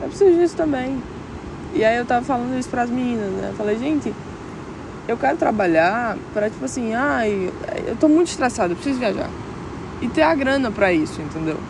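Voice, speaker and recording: Over noticeable background noise, a woman speaks at a fairly quick pace with a high pitch and very wide swings, broken by long, frequent pauses. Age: 20s. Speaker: podcaster. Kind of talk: reflective monologue. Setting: outdoors at a beach. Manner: emotional.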